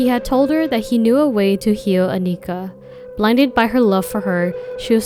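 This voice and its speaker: A woman's fairly high voice in an American accent, fairly quick, with ordinary pitch variation and music in the background. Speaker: true crime YouTuber. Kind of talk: scripted narration.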